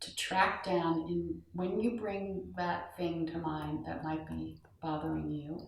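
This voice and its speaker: The voice carries vocal fry and a calm tone. It moves at a very slow pace with fairly even intonation. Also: woman. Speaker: meditation guide. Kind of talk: guided meditation. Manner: slow, calm.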